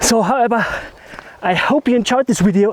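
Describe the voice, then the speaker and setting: A man's high-pitched voice at a fairly quick pace, with ordinary pitch variation and noticeable background noise. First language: German. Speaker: landscape photography vlogger. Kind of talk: vlog outro. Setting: outdoors hiking down a mountain.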